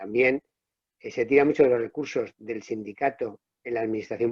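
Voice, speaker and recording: Very fast speech from a man, intonation fairly even. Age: 60s. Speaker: public sector trade unionist. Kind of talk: panel discussion. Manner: halting, self-correcting.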